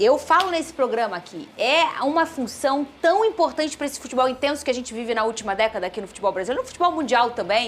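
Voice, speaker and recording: Her pitch swings very widely as the woman speaks at a very fast pace in a high voice, with hardly any pauses. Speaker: sports show host. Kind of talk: studio panel discussion. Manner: soft-spoken.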